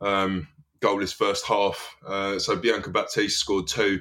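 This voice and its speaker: On a very clean recording with a silent background, a man speaks at a moderate pace with a fairly low pitch and a bright, sharp tone. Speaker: football fan pundit. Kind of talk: casual chat.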